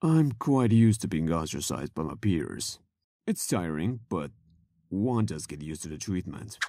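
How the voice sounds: A man puts on a cartoonish character voice, low-pitched with a dark, mellow tone and big pitch swings at a fairly slow pace. The recording is very clean, with a silent background.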